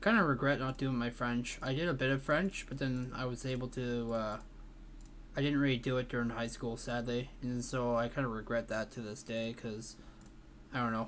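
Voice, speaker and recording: This man speaks with a Canadian accent at a moderate pace. His pitch is medium and his intonation fairly even. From Canada. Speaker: finance youtuber. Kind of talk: livestream gameplay commentary. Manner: casual, hesitant with fillers.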